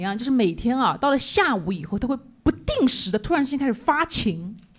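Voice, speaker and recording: Here a woman speaks at a high pitch. Her voice swings very widely up and down. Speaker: stand-up comedian. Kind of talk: stand-up set. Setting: stage with audience.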